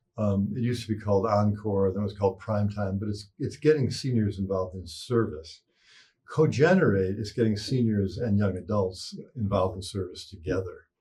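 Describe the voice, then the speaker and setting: A man's somewhat breathy, dark and mellow voice, fairly low in pitch, with an American accent, a fairly quick pace and ordinary pitch variation. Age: 60s. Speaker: psychologist and parenting expert. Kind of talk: interview.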